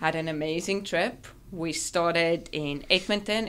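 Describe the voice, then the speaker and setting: This woman has a South African accent. Her pitch is fairly low. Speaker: dentist. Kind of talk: podcast interview.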